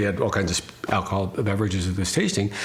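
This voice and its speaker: Noticeable background noise and audible room echo accompany this man's speech. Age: 60s. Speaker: winery owner. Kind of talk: interview. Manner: halting, many repeated words.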